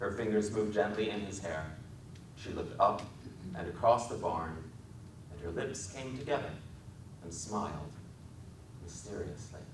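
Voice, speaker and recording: A man talks at a moderate pace and fairly low pitch, with big swings in loudness. Long, frequent pauses break up his speech over noticeable background noise. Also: ordinary pitch variation. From Wisconsin. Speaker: author and filmmaker. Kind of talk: dramatic literary reading. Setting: public library talk.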